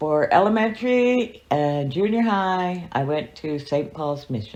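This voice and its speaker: A woman speaks with lively intonation. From US, Montana, Fort Belknap reservation. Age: 60s. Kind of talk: oral history interview. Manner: halting.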